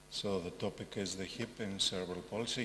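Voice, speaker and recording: A man with a Greek accent speaks in a fairly low voice amid audible room echo. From Greece, Thessaloniki. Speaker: orthopaedic surgeon. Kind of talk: conference lecture.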